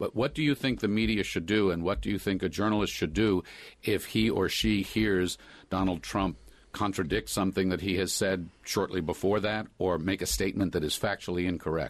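Vocal fry runs through a voice moving at a fairly quick pace with ordinary pitch variation, over a quiet background. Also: man, very deep, low pitch for a man, very even loudness. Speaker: guest radio host. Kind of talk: moderated panel discussion. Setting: studio.

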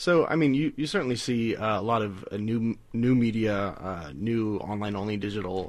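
With an American accent, a man has a plain, everyday voice, a fairly low pitch and lively intonation. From US South, South Carolina. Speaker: data scientist. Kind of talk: radio interview.

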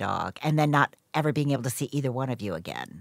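A woman talks at a very fast pace in a very deep, low pitch, with vocal fry and ordinary pitch variation. The recording is very clean and silent in the background, with a dry, close sound and no echo. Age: 50s. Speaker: podcast host. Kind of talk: casual interview and scripted narration.

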